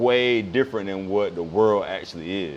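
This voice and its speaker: A man talks at a moderate pace in a fairly low pitch with ordinary pitch variation, over noticeable background noise. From eastern North Carolina, Maysville. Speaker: painter. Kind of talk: casual chat.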